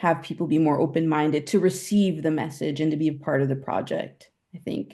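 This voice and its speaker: With a dark, mellow tone and fairly even intonation, the voice moves at a moderate pace against a quiet background. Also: woman. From Italy. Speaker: panelist, cultural platform founder. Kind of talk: webinar panel discussion.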